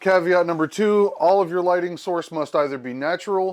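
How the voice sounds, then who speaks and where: A man with an unremarkable speaking voice, moderate pace and ordinary pitch variation. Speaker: photography YouTuber. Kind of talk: casual vlog talk to camera.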